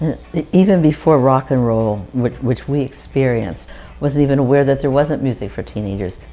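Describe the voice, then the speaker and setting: Music plays in the background behind a woman with a very deep, low pitch. She speaks at a fairly quick pace with lively intonation. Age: 70s. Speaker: interviewee recalling childhood. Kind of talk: oral history interview.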